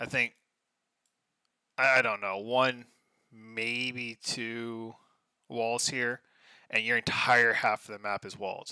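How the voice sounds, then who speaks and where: Long, frequent pauses mark this very slow speech, which has a bright, sharp tone and a dry, close sound with no echo on a very clean recording with a silent background. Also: man, medium pitch for a man. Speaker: game commentator. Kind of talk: casual live commentary. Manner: soft-spoken; animated.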